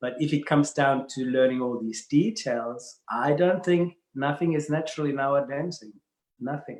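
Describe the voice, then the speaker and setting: A man with a German accent speaks at a moderate pace in a fairly high pitch, with ordinary pitch variation. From Germany, Bavaria. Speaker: dance professional. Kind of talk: casual interview chat. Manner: halting, repeats words.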